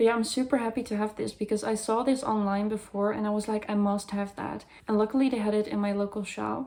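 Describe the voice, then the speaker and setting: A woman with a Dutch accent speaks very fast, with hardly any pauses. Her fairly high voice has a dark, mellow tone and monotone, flat intonation. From Netherlands or Flanders. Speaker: goth fashion vlogger. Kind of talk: haul video, casual talk to camera.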